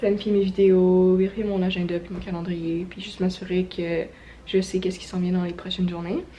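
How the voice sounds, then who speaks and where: A woman talks at a fairly quick clip with a Quebec accent, her intonation flat and monotone. Noticeable background noise runs underneath. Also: medium pitch for a woman. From Quebec, near Montreal. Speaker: vlogger. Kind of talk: casual vlog talk.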